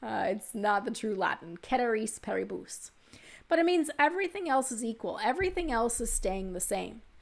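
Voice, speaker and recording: In a very clean recording with a silent background, a woman with a Texas accent and vocal fry speaks at a moderate pace, her fairly high pitch making very wide swings. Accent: Texas pronunciation. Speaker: economics instructor. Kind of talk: lecture.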